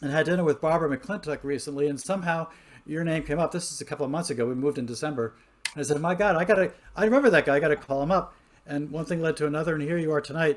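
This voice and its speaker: Here a man speaks at a very fast pace. His pitch is fairly high, with ordinary pitch variation. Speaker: interviewer, pianist and composer. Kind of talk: interview. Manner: halting, many fillers.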